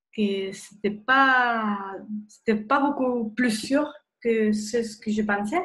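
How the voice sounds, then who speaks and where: Speaking very slowly, a woman with a fairly high pitch keeps her intonation fairly even, and the room echo is audible. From Spain. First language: Spanish (speaking French). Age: 30s. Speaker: nurse and wellness blogger. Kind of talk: webinar presentation. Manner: hesitant, many fillers.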